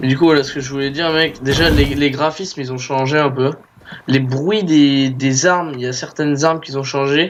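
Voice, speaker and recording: A man speaks at a fairly high pitch with fairly even intonation. Noticeable background noise runs behind him. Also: moderate pace. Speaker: gaming youtuber. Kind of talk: gameplay commentary. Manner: halting, many repetitions.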